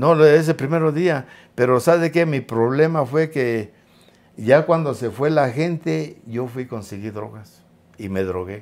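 On a very clean recording with a silent background, a man with an unremarkable speaking voice talks fairly slowly at a medium pitch. His intonation is lively and his loudness swings widely. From Mexico. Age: 60s. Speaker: interview guest, ex-prisoner. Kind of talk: interview, personal storytelling.

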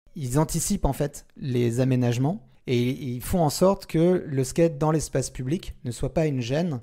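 Over a silent background in a very clean recording, a man talks at a moderate pace in a fairly high pitch, with a dark, mellow tone and ordinary pitch variation. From central France, Orléans. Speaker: skater and marketing specialist. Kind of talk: casual interview. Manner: halting, repeats words.

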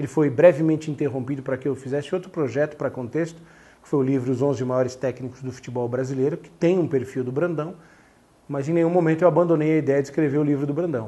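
A man talks at a very fast pace, his pitch fairly high. His voice is somewhat breathy, with a dark, mellow tone. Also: fairly even intonation. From Brazil, São Paulo. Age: 40s. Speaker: sports journalist and author; sports journalist. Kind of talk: interview monologue about his book. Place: home room. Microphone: lapel.

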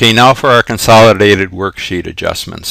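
A fairly quick pace in an unremarkable speaking voice, pitch varying in an ordinary way. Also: man. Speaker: accounting instructor. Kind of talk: tutorial. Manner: frequent filler words.

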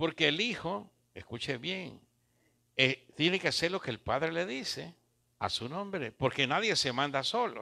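A man's fairly high, bright, sharp voice with lively intonation at a fairly slow pace, against a quiet background. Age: 70s. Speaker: pastor. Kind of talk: sermon. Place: church. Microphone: handheld.

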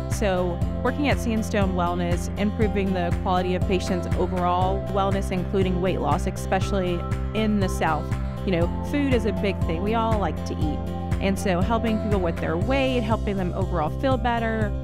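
A woman speaks at a moderate pace in an American accent, her voice dry with no echo, over loud music in the background. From Louisiana, US South. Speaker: nurse practitioner. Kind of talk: staff introduction talk to camera. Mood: warm, friendly. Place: office. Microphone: lapel.

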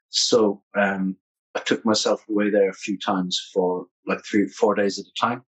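A man's fairly low, fairly slow voice against a quiet background. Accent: Irish. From Ireland. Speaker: musician and author; interview guest. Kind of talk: interview. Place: home room.

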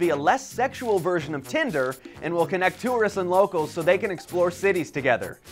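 Faint music sits in the background. Over it, a man talks at a fairly quick pace. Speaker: news presenter. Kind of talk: news report. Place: office. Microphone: lapel.

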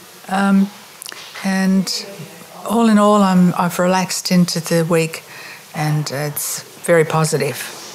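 A woman with a medium pitch speaks at a very slow pace, leaving long, frequent pauses. Noticeable background noise sits behind her. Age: 70s. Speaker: retreat participant. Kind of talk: interview.

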